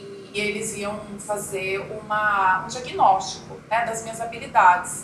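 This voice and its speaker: A woman at medium pitch talks very slowly in a monotone, flat intonation with hardly any pauses and big swings in loudness, over noticeable background noise. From Brazil, interior of Mato Grosso do Sul (Coxim). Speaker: chocolate entrepreneur. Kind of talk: interview.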